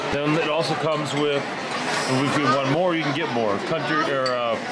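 Loud noise fills the background. A man speaks at a moderate pace. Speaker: family travel vlogger. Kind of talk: casual vlog chat. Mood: cheerful, appreciative. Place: cafe. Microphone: phone near.

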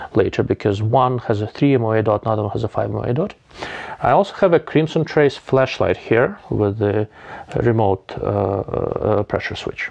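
A man talks at a moderate pace with lively intonation. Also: quiet background. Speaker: gear reviewer. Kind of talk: review commentary. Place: home room. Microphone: lapel.

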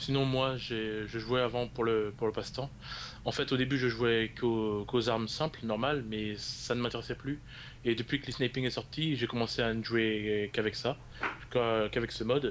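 Here a man at medium pitch speaks in an ordinary speaking voice with fairly even intonation. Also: moderate pace. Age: 20s. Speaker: esports league staff member. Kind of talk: interview.

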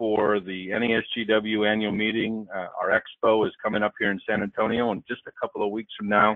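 Speaking at a fairly quick pace, a man with fairly low pitch uses an ordinary speaking voice, the sound dry with no echo over a quiet background. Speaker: trade association president. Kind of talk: event introduction. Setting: phone or online webinar. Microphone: phone line.

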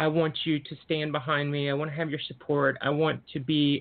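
In an American accent, a woman speaks with a very deep, low pitch. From US South. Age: 40s. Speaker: doctor and mental health advocate. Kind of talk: podcast interview.

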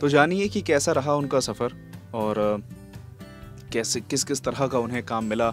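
A man speaks at a fairly slow pace, with long, frequent pauses and ordinary pitch variation. Faint music plays behind a dry sound with no echo. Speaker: voice over coach. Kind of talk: interview host talk. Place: studio. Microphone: handheld.

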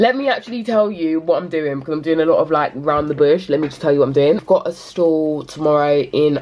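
A woman speaks in a very deep, low pitch. Her pitch variation is ordinary. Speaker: small business owner vlogger. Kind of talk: casual vlog chat. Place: home room. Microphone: phone near.

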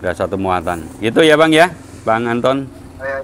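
The speech moves at a fairly quick pace. Light background noise is audible. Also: man. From Java, Indonesia. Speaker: machine seller. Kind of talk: casual vlog talk. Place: garage.

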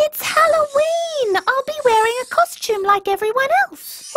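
Someone puts on a character voice and talks at a moderate pace. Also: female-sounding voice, extremely high pitch for a woman. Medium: short film. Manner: bubbly, eager.

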